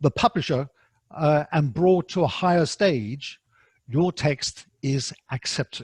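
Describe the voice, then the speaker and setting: A somewhat breathy man at a very slow pace, ordinary pitch variation, and a dry, close sound with no echo. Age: 60s. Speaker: academic writing instructor. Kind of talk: lecture. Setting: online webinar. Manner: halting, many fillers.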